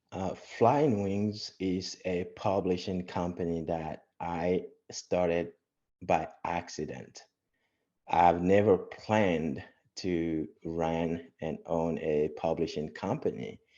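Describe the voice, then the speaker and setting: Against a quiet background, the voice has a dark, mellow tone and ordinary pitch variation, moving at a very slow pace. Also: man, very deep, low pitch for a man. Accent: West African. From Togo. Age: young. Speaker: entrepreneur and Air Force veteran. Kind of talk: podcast interview.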